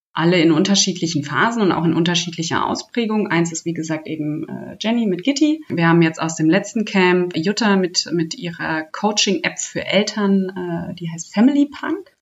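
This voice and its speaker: An ordinary speaking voice from a woman, fairly low in pitch, at a moderate pace with hardly any pauses and lively intonation. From Hesse, Germany. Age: 30s. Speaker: startup program manager. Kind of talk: interview.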